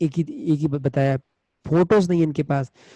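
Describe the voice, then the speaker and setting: A man's dark, mellow tone, somewhat breathy, with fairly even intonation. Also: dry, close sound with no echo. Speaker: digital marketing trainer. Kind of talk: webinar lecture. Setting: online webinar.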